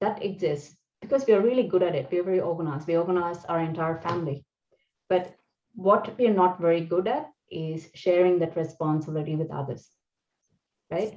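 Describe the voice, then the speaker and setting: At a fairly quick pace, a woman with a non-native accent speaks in a fairly low pitch with ordinary pitch variation. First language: not English. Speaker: engineering leader giving a talk on career growth. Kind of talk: presentation talk.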